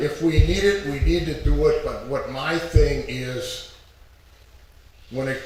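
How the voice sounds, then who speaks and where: Noticeable background noise and audible room echo accompany speech delivered very slowly. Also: man. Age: 70s. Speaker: retired resident giving public comment. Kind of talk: public comment at council meeting. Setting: council chambers.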